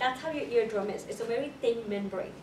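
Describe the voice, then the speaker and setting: Audible room echo around a fairly high-pitched woman's voice. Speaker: college lecturer. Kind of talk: lecture. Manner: fast; repetitive, frequent 'okay?' checks.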